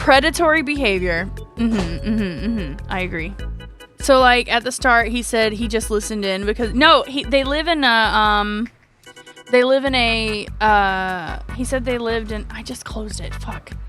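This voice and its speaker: Over music in the background, a woman speaks in an animated tone at a moderate pace, with a fairly high pitch and ordinary pitch variation. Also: big swings in loudness. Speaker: VTuber streamer. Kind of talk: casual livestream story reading with chat. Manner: chaotic, animated.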